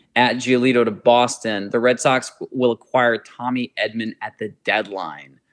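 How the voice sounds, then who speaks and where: A man's unremarkable speaking voice with fairly even intonation. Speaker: podcast host. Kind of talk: casual sports podcast discussion. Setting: remote recording, hosts in different cities.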